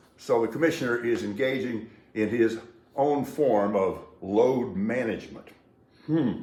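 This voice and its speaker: Audible room echo surrounds a man speaking at a very slow pace. His intonation is lively. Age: 60s. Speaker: sports and news commentator. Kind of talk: solo commentary monologue. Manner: casual, sardonic.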